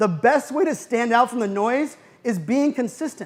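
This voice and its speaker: A man with an American accent speaks at a high pitch and a fairly quick pace. His intonation is lively and his tone animated. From US, Pittsburgh, Pennsylvania. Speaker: keynote speaker. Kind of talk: conference keynote talk. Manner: fast.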